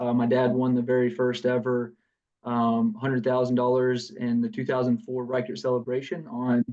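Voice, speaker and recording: Medium pitch and a dark, mellow tone from a man in a Southern US accent at a moderate pace. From US South, south Georgia. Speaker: business founder. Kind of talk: podcast interview. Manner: halting, many fillers.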